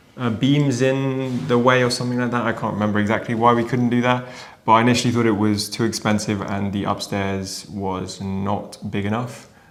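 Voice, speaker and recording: Over music in the background and with audible room echo, a man with a British accent speaks at a medium pitch and a fairly quick pace, his intonation fairly even. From UK. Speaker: renovation vlogger. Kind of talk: casual chat.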